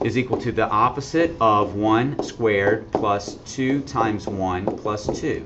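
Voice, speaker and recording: A man at medium pitch, a fairly slow pace, audible room echo and noticeable background noise. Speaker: math teacher. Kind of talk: classroom lecture.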